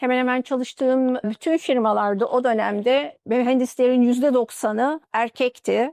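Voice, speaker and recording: With an Arabic accent, a woman talks at a high pitch with hardly any pauses, her loudness very even and the sound dry and close with no echo. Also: fairly even intonation, moderate pace. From Turkey, Mardin then Istanbul. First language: Arabic (speaking Turkish). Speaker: engineer. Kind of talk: interview testimony.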